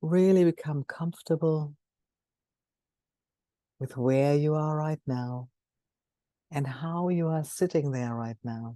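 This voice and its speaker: Very deep and low in pitch, a woman's dark, mellow voice carries a calm, soothing tone at a very slow pace, with long, frequent pauses, ordinary pitch variation and a dry, close sound with no echo. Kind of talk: guided mindfulness meditation. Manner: calm, soothing, slow.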